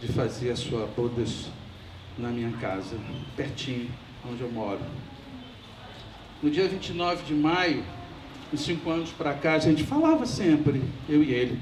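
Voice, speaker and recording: There is noticeable background noise and audible room echo as a man talks at a moderate pace with a fairly high pitch. His pitch varies in an ordinary way, and he pauses long and often. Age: 70s. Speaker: family friend giving a eulogy. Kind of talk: memorial speech. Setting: memorial ceremony.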